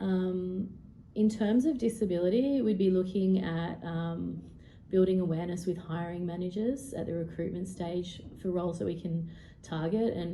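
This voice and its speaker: A somewhat breathy voice with a dark, mellow tone, an Australian accent, fairly even intonation and audible room echo. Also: woman. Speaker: HR professional. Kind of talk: presentation. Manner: fast; halting with frequent ums.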